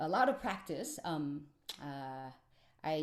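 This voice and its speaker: The speaker has a Chinese accent and a very slow pace. Their pitch swings very widely. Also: woman. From China, Beijing. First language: Mandarin Chinese. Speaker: musician. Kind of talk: workshop presentation. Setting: video call. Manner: halting, many fillers.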